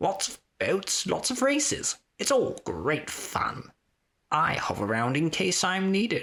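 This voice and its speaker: Put on as a character voice, the speech sits at a middle pitch and moves at a fairly slow pace. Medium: read story.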